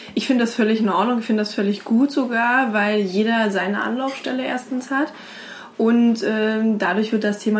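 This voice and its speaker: Against noticeable background noise, a woman speaks in a fairly high voice with fairly even intonation. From Brandenburg, Germany. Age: 20s. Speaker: women's platform founder. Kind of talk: interview.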